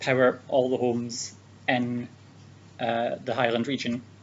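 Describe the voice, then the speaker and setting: A man's medium-pitched voice in a Scottish accent. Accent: Scottish accent, noticeable. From Scotland. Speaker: speech giver for interpreting practice. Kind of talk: prepared speech for interpreter trainees. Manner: hesitant, many fillers.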